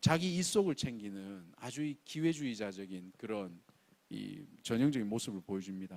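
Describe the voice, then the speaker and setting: The voice has a strong Gyeongsang accent and very wide pitch swings, delivered at a moderate pace. The recording is very clean, with a silent background. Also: man. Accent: Gyeongsang dialect, strong pronunciation. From Gyeongsang region, South Korea. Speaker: pastor. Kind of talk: sermon. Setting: church, early-morning service.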